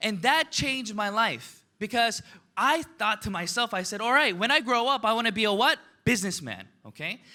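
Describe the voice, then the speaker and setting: In a raised, projected voice, a man speaks with high pitch, ordinary pitch variation and an animated, bright, sharp tone on a very clean recording with a silent background. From United States, Korean immigrant family. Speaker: network marketing business leader. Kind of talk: motivational seminar talk.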